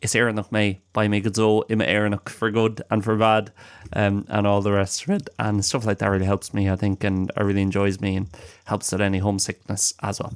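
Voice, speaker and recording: A man with an Irish accent speaks at a fairly quick pace. His fairly low pitch stays monotone and flat. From Ireland. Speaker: language podcast host. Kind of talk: casual chat. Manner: halting.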